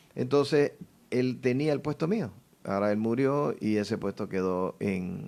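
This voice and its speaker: Speaking at a fairly slow pace, a man with a medium pitch and a dark, mellow tone uses lively intonation. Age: 60s. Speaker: politician running for party office. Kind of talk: radio interview.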